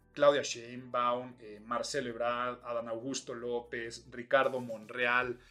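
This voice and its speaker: A man's medium-pitched voice, bright and sharp in tone, at a very slow pace. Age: middle-aged. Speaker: podcast host and image consultancy school rector. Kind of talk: solo podcast commentary. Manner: animated.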